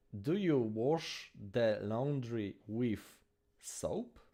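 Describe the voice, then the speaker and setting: A man speaks with a Polish accent. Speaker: language-learning streamer. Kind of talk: live stream language practice. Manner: halting, many fillers and restarts.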